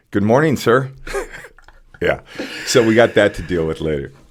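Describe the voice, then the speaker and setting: A man talks at a fairly quick pace with an American accent. The recording is very clean, the background silent. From California. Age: 60s. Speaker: community volunteer, produce deliverer. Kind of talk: casual chat.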